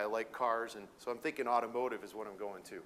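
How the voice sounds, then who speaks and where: The man's pace is fairly quick. He has an American accent. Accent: Minnesota accent (joking). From Michigan, Detroit area. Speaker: welding equipment sales manager. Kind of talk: educational presentation. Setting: conference session with audience. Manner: casual, halting with fillers.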